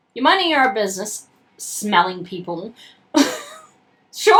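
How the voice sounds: Lively intonation carried by a natural reading voice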